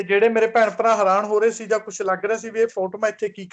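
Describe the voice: Simply plain reading aloud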